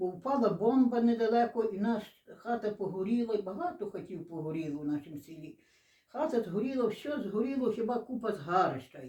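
Speaking at a fairly quick pace, a woman with a fairly high pitch makes very wide pitch swings and big swings in loudness. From western Ukraine, Lviv region, Stryi district. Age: 80s+. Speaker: dialect informant. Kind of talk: oral history interview. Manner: halting.

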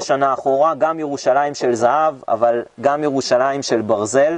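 Ordinary pitch variation in a dry sound with no echo. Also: man. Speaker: tour guide. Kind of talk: guided tour talk. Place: garden.

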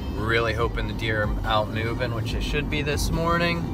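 A man is speaking, with clear music playing in the background. The sound is dry, with no echo. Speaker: hunting vlogger. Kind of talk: casual vlog chat. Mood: upbeat, hopeful. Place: car. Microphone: phone near.

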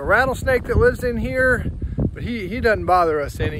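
Over loud background noise, a man speaks at a moderate pace in a dry sound with no echo. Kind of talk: casual vlog chat. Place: open country. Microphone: phone near.

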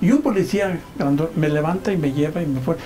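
Clear music plays behind a man whose high pitch shows ordinary variation. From Michoacán, Mexico. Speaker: journalist. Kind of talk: personal storytelling. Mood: emotional recollection. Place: home room. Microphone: lapel.

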